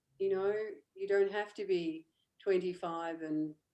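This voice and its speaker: A woman's dark, mellow voice at a medium pitch, fairly slow in pace, with fairly even intonation. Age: 60s. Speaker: coaching client. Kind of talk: interview.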